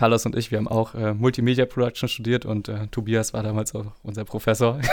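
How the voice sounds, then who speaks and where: A man talks at a medium pitch with monotone, flat intonation. The recording is very clean, with a silent background. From northeastern Germany, Schwerin. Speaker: podcast host. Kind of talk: interview.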